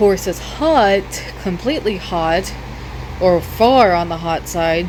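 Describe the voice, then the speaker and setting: The speech moves at a very slow pace. Background noise is noticeable throughout. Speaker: gaming YouTuber. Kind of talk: gameplay tutorial. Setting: wearing headphones while recording. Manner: halting; loud.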